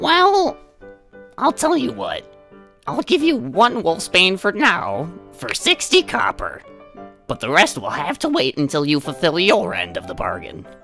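A man uses a put-on character voice, pitched high. Faint music plays behind him. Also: moderate pace. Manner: fussy, chatty, polite.

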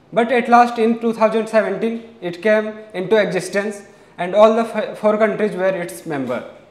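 A man's high-pitched voice at a fairly slow pace, fairly even in intonation, with audible room echo. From India. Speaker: SSB aspirant. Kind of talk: lecturette speech. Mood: formal, slightly nervous. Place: classroom. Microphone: lapel.

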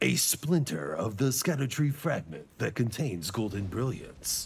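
A man's put-on character voice at medium pitch, dramatic and solemn in tone, at a moderate pace. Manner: dramatic, solemn narration.

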